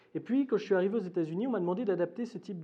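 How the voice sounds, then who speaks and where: Lively intonation runs through this voice with a Swiss accent. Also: man. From Switzerland, Geneva. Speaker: academic lecturer. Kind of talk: lecture. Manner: hesitant, many fillers.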